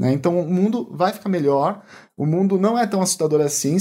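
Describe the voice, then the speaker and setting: This man's voice is pitched high. It rises and falls in an ordinary way. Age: 30s. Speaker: health professional. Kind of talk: interview conversation.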